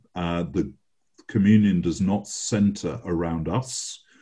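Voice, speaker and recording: In an English accent, a man talks at a very slow pace with a dark, mellow tone. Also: quiet background. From England. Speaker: bishop. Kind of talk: interview. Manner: halting.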